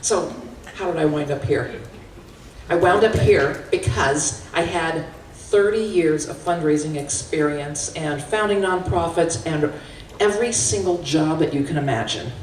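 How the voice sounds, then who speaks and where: Her pitch is fairly low for a woman, with ordinary variation. She speaks at a fairly slow pace amid noticeable background noise. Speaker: fundraiser, keynote speaker and auctioneer. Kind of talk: keynote talk. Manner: energetic.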